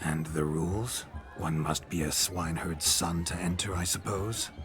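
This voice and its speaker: Over loud background noise, a man puts on a cartoonish character voice pitched very deep and low, moving at a moderate pace. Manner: old-fashioned, gentlemanly speech.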